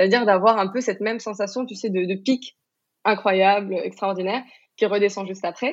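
With a normal speaking voice, a woman talks at a fairly quick pace, her medium pitch carrying fairly even intonation. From Morocco. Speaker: sex coach. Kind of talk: interview conversation.

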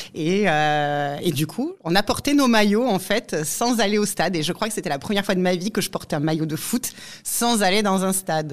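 Intonation is lively, and the delivery keeps to a moderate pace. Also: woman, medium pitch for a woman. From Aude, southern France. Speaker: football supporter. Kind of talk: interview testimony. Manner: hesitant, many fillers.

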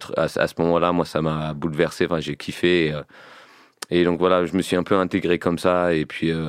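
A man's very deep, low voice in a monotone, flat delivery at a moderate pace. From England. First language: English (speaking French). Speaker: rapper. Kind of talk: casual interview chat.

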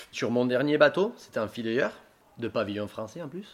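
This man's intonation is lively. He keeps to a moderate pace. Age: 30s. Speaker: fisherman, fishing boat officer. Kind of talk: casual interview.

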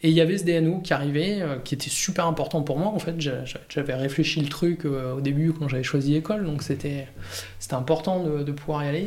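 Heard with audible room echo, a man speaks at a moderate pace in a fairly high pitch with fairly even intonation. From Provence, southern France (Var). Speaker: winegrower. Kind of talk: casual interview. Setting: at his home. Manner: halting, many fillers.

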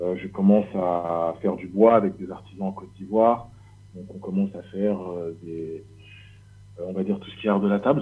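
A man speaks at a moderate pace in a very deep, low pitch, with fairly even intonation and big swings in loudness. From Paris region, France. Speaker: leather craftsman. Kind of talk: casual interview.

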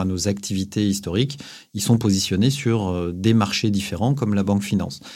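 Dark and mellow in tone, a man's fairly low voice moves at a fairly quick pace. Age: 40s. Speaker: company chief executive. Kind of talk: interview. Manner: halting.

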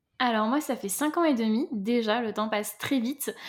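A woman's pitch moves in a normal way in a very clean recording with a completely silent background. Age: 30s. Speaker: entrepreneur and business mentor. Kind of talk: interview.

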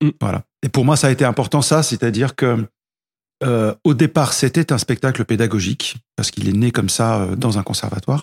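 This man talks at a moderate pace and medium pitch, with ordinary pitch variation. His voice is somewhat breathy, and the sound is dry and close with no echo. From grew up in several countries, moved to France at 13. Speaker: music teacher, guitarist and singer. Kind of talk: casual interview. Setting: at his home.

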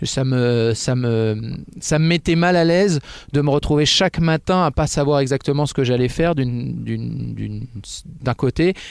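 Speaking fairly slowly with very even loudness, a man has a normal speaking voice at a medium pitch with ordinary pitch variation. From Picardie, northern France (Oise). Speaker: football commentator. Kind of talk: casual interview. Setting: studio.

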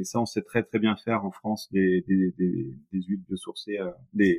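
A man's fairly even intonation holds at a moderate pace. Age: 40s. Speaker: paint company founder and painter. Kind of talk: interview. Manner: halting, many repetitions.

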